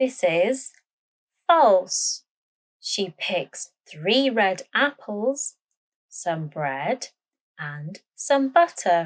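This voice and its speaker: At a very slow pace with long, frequent pauses, a woman speaks in a medium pitch with very wide pitch swings, the sound dry and close with no echo. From Britain. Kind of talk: language-learning story narration. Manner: slow, clear.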